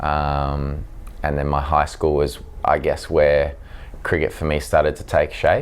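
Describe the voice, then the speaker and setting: Over noticeable background noise, a man speaks with an Australian accent. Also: fairly slow pace. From South Africa, raised in Australia (Sydney North Shore) from age seven. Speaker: professional cricketer. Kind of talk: interview. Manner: hesitant, many fillers.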